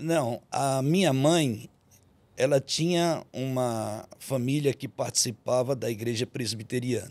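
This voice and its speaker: A man with a Bahian accent, very slow pace, medium pitch, and ordinary pitch variation. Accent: Bahian Brazilian. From Bahia, Brazil. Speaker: pastor. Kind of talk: testimony.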